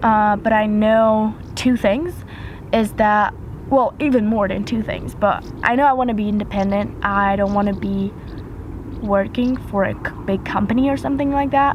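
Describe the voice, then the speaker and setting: At a moderate pace, a woman talks in a fairly high pitch with ordinary pitch variation over noticeable background noise. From French-speaking Switzerland. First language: French. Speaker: YouTuber. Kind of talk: casual Q&A vlog. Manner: hesitant, with fillers.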